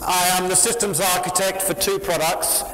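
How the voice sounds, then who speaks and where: A man with a British accent, amid noticeable background noise and audible room echo. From UK. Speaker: software company founder and conference speaker. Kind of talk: tech conference talk. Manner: animated.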